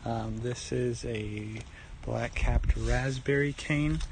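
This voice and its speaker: A man over noticeable background noise. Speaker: home gardener. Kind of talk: casual garden tour. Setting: outdoors in garden. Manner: casual, rambling with fillers; quiet, soft-spoken.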